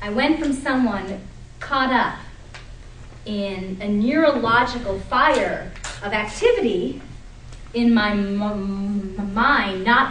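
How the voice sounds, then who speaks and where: Recorded with audible room echo and noticeable background noise, a woman speaks at a fairly high pitch. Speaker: attorney giving a speech. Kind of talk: prepared speech to audience.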